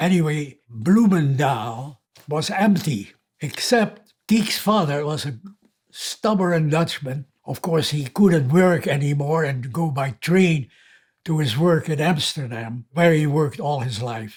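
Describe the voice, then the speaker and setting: A man's somewhat breathy, fairly high voice, very slow in pace, with lively intonation. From Netherlands. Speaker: war survivor. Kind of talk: testimony.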